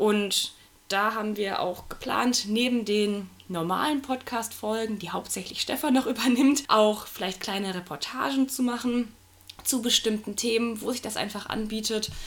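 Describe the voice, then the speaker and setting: At a moderate pace, a woman speaks with a fairly high pitch and ordinary pitch variation amid noticeable background noise. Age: 20s. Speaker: new podcast co-host, geography student. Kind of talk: casual podcast self-introduction.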